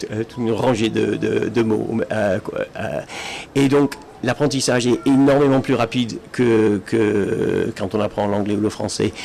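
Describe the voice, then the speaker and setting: With an English accent, a man speaks at a medium pitch and a fairly slow pace, his intonation fairly even. There is noticeable background noise. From Britain. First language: English (speaking French). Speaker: Esperanto speaker. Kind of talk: public talk. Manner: halting, many fillers and restarts.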